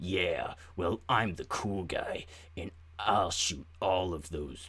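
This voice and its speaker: A man in a put-on character voice, growling and very deep in pitch, at a very slow pace with ordinary pitch variation. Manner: macho, boastful.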